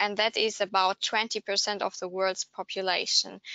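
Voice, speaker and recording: A woman with a German accent speaks at a moderate pace. Her medium pitch comes with monotone, flat intonation. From Germany. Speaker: language market researcher. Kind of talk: webinar presentation. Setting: online webinar.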